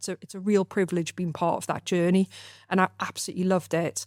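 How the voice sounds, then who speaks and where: A woman with a northern English accent talks very fast in a fairly low, monotone voice with flat intonation. The sound is dry and close with no echo, and the recording is very clean with a silent background. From northern England (Gateshead area). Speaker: mortgage firm director. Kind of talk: podcast interview. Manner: hesitant, many fillers.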